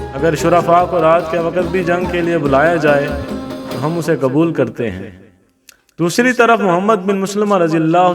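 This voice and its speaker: Male voice, high in pitch, with ordinary variation. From Pakistan. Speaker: voice-over artist. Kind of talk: Islamic history story narration.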